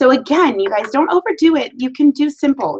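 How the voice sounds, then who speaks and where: A woman's voice comes through dry and close, with no echo. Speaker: direct sales consultant and team leader. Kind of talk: team training talk via live video. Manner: fast.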